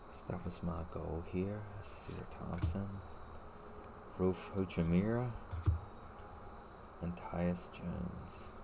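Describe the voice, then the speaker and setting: With audible room echo, a soft-spoken, somewhat breathy man speaks at a very deep, low pitch, keeping his intonation fairly even and leaving long, frequent pauses. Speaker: card-opening video creator. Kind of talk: ASMR card opening. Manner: quiet, soft-spoken.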